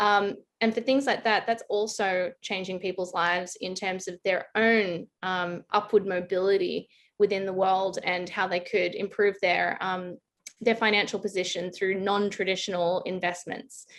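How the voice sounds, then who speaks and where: Speaking at a moderate pace in an Australian accent, a woman keeps her medium-pitched voice monotone and flat. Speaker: blockchain consultant. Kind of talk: interview.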